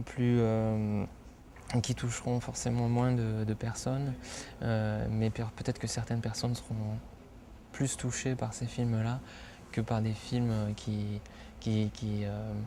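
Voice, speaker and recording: A man's dark, mellow voice at medium pitch, very slow, with long, frequent pauses and fairly even intonation. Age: 30s. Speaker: film director. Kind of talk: interview. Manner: hesitant, many filler sounds.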